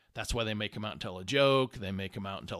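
In an American accent, a man speaks with a fairly low pitch, a bright, sharp tone and ordinary pitch variation on a very clean recording with a silent background. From Indiana, US Midwest. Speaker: podcast host, leadership coach. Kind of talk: casual monologue. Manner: conversational.

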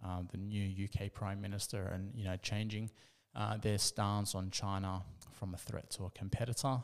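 A man with an Australian accent speaks at a fairly slow pace, his pitch fairly low. The recording is very clean, with a silent background. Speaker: investment commentator. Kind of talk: monologue commentary. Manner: halting.

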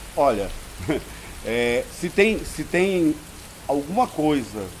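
A man talks over noticeable background noise. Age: 50s. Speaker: theatre director and cultural producer. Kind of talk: interview. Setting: historic house, heavy rain outside. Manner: halting, many repetitions and fillers.

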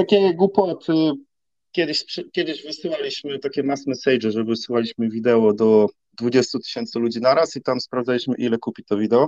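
Here is an ordinary speaking voice, a man's, at a medium pitch and a fairly quick pace with lively intonation. The sound is dry and close, with no echo. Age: 30s. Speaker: online content manager. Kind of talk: casual interview.

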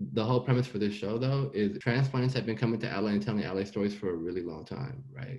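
Speaking at a fast pace, a man's voice sits fairly low in pitch. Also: ordinary pitch variation, slightly mellow tone.

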